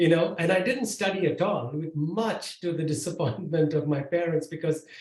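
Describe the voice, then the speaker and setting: The voice belongs to a man with a high pitch. His pitch variation is ordinary. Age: 60s. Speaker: tech executive and author. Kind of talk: podcast interview. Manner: halting, many fillers.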